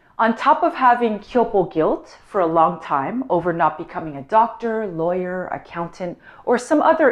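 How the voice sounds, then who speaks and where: A woman with a Canadian accent speaks in a plain, everyday voice. Her pace is fairly slow, and her intonation is lively. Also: quiet background. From Canada. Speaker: vlogger. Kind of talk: personal vlog monologue.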